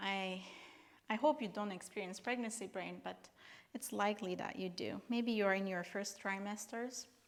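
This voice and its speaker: A woman's medium pitch and fairly even intonation, with a non-native accent. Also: moderate pace. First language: not English. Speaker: yoga instructor. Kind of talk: guided workout instruction; casual chat. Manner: halting.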